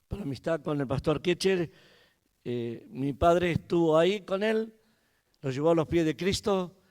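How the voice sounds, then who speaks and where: A man speaks at a fairly slow pace. His pitch is fairly high, with ordinary pitch variation. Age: 60s. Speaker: pastor. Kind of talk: sermon. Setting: church.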